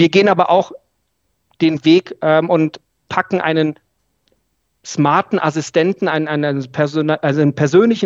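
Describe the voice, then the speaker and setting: A moderate pace broken by long, frequent pauses. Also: man, dry, close sound with no echo. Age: 30s. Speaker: audiologist, training lead. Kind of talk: casual interview.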